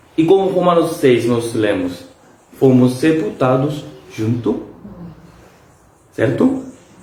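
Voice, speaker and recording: A man's lively intonation at a very slow pace, broken by long, frequent pauses, amid noticeable background noise and audible room echo. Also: medium pitch for a man. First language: Korean (speaking Portuguese). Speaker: pastor. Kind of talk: bible study. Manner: halting.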